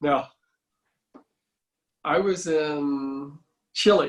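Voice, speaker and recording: Here a man with a fairly high pitch speaks with fairly even intonation. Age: 60s. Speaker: martial arts instructor. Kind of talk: casual chat.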